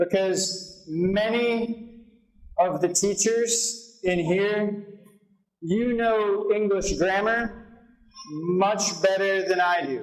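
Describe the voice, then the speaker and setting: Audible room echo carries a man's high-pitched voice as he speaks very slowly with an American accent and fairly even intonation. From United States. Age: 20s. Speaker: volunteer English teacher. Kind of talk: seminar presentation. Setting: seminar room with audience of teachers.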